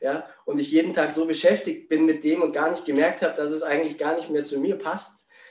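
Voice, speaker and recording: A man with a fairly high pitch talks at a fairly quick pace in a monotone, flat way, with hardly any pauses. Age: 40s. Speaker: spiritual coach. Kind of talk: interview.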